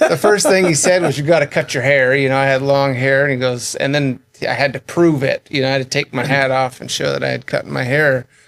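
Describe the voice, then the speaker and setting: A man with an American accent at a medium pitch and a fairly quick pace. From Northern California, Yuba City. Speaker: ambulance company owner. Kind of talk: interview. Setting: studio. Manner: casual, halting.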